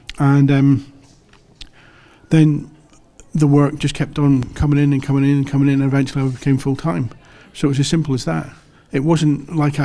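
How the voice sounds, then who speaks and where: With an English accent, a man talks at a fairly quick pace in a fairly high voice, his tone dark and mellow and his intonation monotone and flat. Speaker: comic book artist. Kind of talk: interview. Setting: comic convention.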